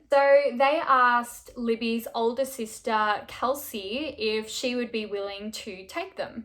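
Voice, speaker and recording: A woman's high voice moves with ordinary pitch variation. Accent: Australian. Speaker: true crime YouTuber. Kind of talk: casual storytelling narration. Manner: conversational, frequent fillers.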